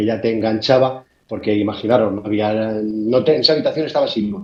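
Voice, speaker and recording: A man talks at a very fast pace in a dark, mellow tone. His pitch variation is ordinary. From Spain. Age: 60s. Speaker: amateur radio operator. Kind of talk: interview storytelling. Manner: halting, repeats words.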